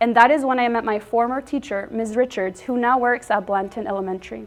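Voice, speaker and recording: A woman with a Spanish accent, high-pitched, at a moderate pace. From Texas, Dallas area. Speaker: middle school teacher. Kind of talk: prepared speech at an award event. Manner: formal.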